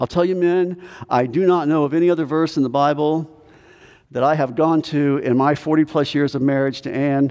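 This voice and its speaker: This man has a normal speaking voice with a fairly high pitch. His intonation is fairly even and his pace fairly quick. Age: 60s. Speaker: pastor. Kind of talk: sermon. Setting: church.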